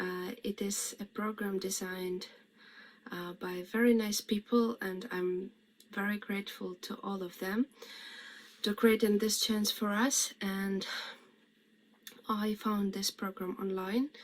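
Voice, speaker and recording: The intonation is monotone and flat. Delivery is very slow, broken by long, frequent pauses. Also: woman, medium pitch for a woman. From Ukraine. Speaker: refugee student. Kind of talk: testimony.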